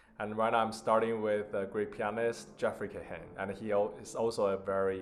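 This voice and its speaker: A man with a Chinese accent and medium pitch. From China (Beijing). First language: Mandarin Chinese. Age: 20s. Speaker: concert pianist and piano teacher. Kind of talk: self-introduction.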